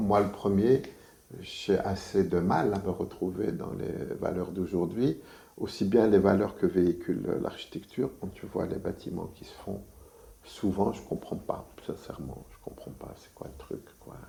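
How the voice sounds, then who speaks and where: Dark and mellow in tone, a man's somewhat breathy voice sits at a fairly low pitch with ordinary pitch variation, big swings in loudness and a fairly slow pace. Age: 60s. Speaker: architect. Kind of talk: interview. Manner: hesitant, many fillers.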